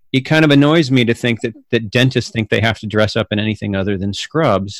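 In a very clean recording with a silent background and a dry, close sound with no echo, a man with a plain, everyday voice speaks at medium pitch with ordinary pitch variation. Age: 50s. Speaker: podcast host. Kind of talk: casual interview chat.

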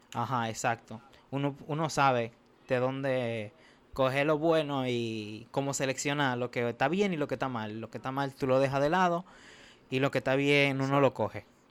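A plain, everyday voice from a man, medium in pitch with fairly even intonation, on a very clean recording with a silent background. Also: moderate pace. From Dominican Republic, Santo Domingo. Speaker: podcast host, medical student. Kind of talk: casual chat.

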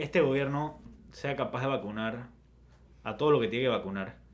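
A man's medium-pitched voice with audible room echo. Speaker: podcast co-host. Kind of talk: casual chat.

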